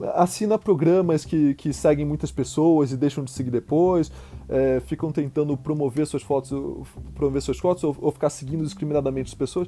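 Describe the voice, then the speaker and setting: A man talks at a fairly quick clip while music runs in the background. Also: ordinary pitch variation. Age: 20s. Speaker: filmmaker and film teacher. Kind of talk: casual interview. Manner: halting, repeats words.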